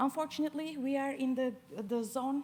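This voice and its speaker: Speaking with a non-native accent, a woman keeps a moderate pace and ordinary pitch variation. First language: not English. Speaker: PhD student. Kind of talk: competition pitch presentation. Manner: halting, many fillers.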